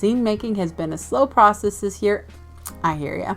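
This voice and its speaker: A woman talks at a fairly quick pace with lively intonation and a medium pitch. Music plays in the background. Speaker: zine enthusiast. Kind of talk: casual talk to camera.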